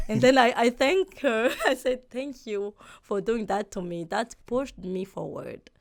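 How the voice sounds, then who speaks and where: A woman with a Burundian accent, fairly high in pitch, with lively intonation at a fairly slow pace. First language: Kirundi. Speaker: real estate agent. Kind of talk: interview. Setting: podcast. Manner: halting.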